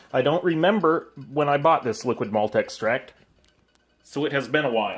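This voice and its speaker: A man's fairly high voice with lively intonation. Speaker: homebrewer. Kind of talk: tutorial. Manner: fast.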